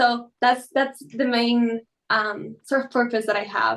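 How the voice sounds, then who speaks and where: A woman's high-pitched voice with a Spanish accent. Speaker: quantum computing educator. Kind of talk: interview.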